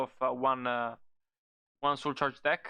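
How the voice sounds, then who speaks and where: In a non-native accent, a man speaks at a fairly high pitch with a bright, sharp tone over a quiet background. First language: not English. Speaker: card game content creator. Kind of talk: casual tier-list commentary. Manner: halting, many fillers.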